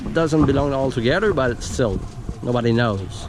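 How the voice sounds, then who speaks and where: A man speaks with a French Canadian accent and lively intonation. The room echo is audible, and there is noticeable background noise. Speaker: car enthusiast YouTuber. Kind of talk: casual walkaround chat. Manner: halting.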